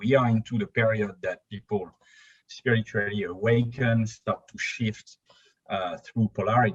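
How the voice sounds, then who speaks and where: A man with a European accent talks at a moderate pace in a medium, somewhat breathy voice, with fairly even intonation and big swings in loudness. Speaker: spiritual YouTube channel co-founder. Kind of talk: podcast interview. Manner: halting.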